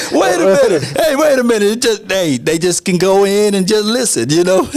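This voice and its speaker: A man's high-pitched voice with lively intonation at a fairly quick pace, music playing in the background. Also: very even loudness. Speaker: sports content creator. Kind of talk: podcast interview. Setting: studio.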